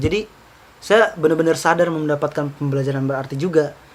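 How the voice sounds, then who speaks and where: Fairly high in pitch, a man talks at a very fast pace with fairly even intonation. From Southeast Sulawesi (Baubau, Buton). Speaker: university student leader. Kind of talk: casual interview chat. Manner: casual, hesitant with fillers.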